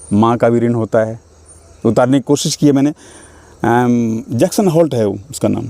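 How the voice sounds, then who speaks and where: A man with a Bihar accent talks at a moderate pace in a dark, mellow tone, with ordinary pitch variation and long, frequent pauses. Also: medium pitch for a man, dry, close sound with no echo. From Mithila region, Bihar, India. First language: Maithili (speaking Hindi). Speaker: stage and film actor. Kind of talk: interview.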